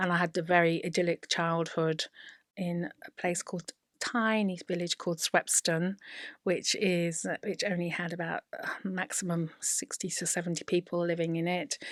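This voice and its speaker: A woman with an English Midlands accent, fairly low pitch and a moderate pace, on a very clean recording with a silent background and a dry, close sound with no echo. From English Midlands, Leicestershire. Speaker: teacher and former royal housemaid. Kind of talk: interview storytelling. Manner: animated.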